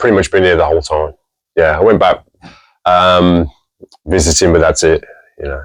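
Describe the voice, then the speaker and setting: With an American accent, a man speaks in a very deep, low voice at a moderate pace, with fairly even intonation and long, frequent pauses. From England, Birmingham and Tamworth (West Midlands). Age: 50s. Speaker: music store and museum owner. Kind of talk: interview. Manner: hesitant, many fillers.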